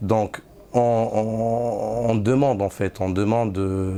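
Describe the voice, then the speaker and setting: The speech moves at a very slow pace in a monotone, flat intonation, with noticeable background noise. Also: man. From Morocco. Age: 30s. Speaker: Sufi disciple. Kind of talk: testimony. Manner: halting, many hesitations and repeats.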